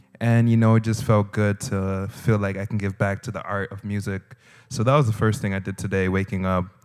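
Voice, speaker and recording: A man with an American accent, fairly low in pitch, with monotone, flat intonation, in a very clean recording with a silent background. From Haiti, left at age four for the US. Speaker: musician. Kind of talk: interview.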